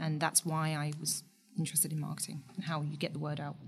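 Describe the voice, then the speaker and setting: Somewhat breathy, a woman speaks at a fairly quick pace in a very deep, low pitch. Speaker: startup co-founder. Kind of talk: casual interview chat.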